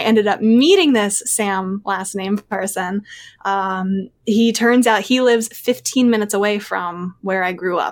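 A woman with a plain, everyday voice and an American accent, medium pitch, moderate pace, fairly even intonation and hardly any pauses, on a very clean recording with a silent background. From Pennsylvania, outside Philadelphia. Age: 20s. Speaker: podcast guest. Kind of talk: casual interview chat.

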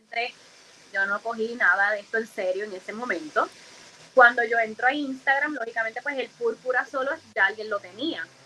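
A woman speaks at a moderate pace with ordinary pitch variation. Her loudness swings widely, and there is noticeable background noise. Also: fairly high pitch for a woman. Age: 30s. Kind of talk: interview. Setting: live stream.

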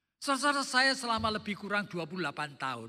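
The voice is raised and projected, with a bright, sharp tone. Its pitch swings very widely. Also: man. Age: old. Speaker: pastor. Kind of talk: sermon.

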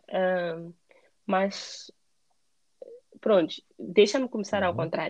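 A woman speaks at a very slow pace with long, frequent pauses and ordinary pitch variation. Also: medium pitch for a woman. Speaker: emigrant interviewee. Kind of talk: casual interview. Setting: call.

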